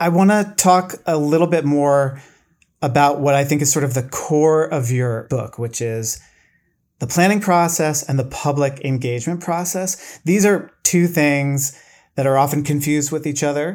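A man with an American accent and a plain, everyday voice, fairly high-pitched, with ordinary pitch variation at a moderate pace, on a very clean recording with a silent background. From Boston suburbs, Massachusetts. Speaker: podcast host. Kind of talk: interview. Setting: home studio, bedroom.

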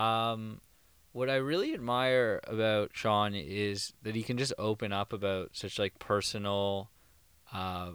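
A man with a Canadian accent speaks in a normal speaking voice, fairly low in pitch and with fairly even intonation. The recording is very clean, with a silent background. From Thornhill, outside Toronto. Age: 20s. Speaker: podcast co-host. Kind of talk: casual chat. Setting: home basement.

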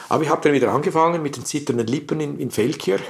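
Pitch variation from this man is ordinary. His delivery is very fast. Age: 70s. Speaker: jazz club founder and retired teacher. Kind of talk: interview.

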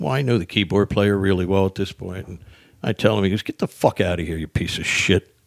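A man talks at a fairly quick pace with a fairly low pitch. The sound is dry and close, with no echo. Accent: New Jersey. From South Jersey, US. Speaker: stand-up comedian. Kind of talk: casual chat. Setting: studio.

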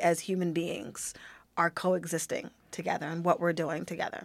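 With an American accent, a woman talks at a moderate pace in a fairly low pitch on a very clean recording with a silent background. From Pittsburgh, Pennsylvania. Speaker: Buddhist practitioner, discussion guest. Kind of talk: casual discussion.

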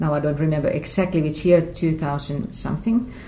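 This woman's pitch is very deep and low. It shows ordinary pitch variation. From Finland (Lahti). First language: Finnish. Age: 50s. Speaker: book podcast host. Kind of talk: interview conversation. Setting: writers' festival venue.

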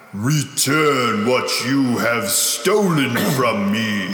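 Putting on a character voice, a man speaks very slowly at a medium pitch over clear background noise. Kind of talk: solemn, grand.

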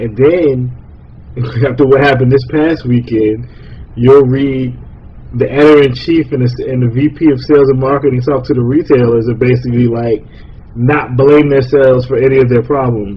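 This man's somewhat breathy voice sits at a medium pitch, with fairly even intonation. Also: moderate pace. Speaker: podcast host. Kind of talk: casual chat.

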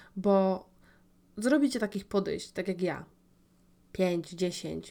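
In a very clean recording with a silent background, a woman talks at a medium pitch with a dark, mellow tone. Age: 20s. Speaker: podcast host. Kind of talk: personal monologue. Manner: casual, with filler sounds.

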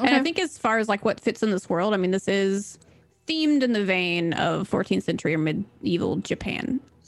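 Noticeable background noise sits behind a woman with an American accent. Her medium-pitched voice has lively intonation and very even loudness. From Mississippi, US South. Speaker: artist, streamer and dungeon master. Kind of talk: casual chat, reading world intro aloud.

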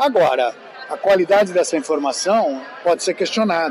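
Fairly slow delivery against crowd noise in the background. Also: man. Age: old. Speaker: veteran TV journalist. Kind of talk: interview.

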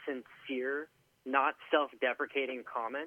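Here is a man with a normal speaking voice. He talks at a moderate pace. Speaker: guest, former coworker and ultra runner. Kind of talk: casual conversational interview. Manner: joking, teasing.

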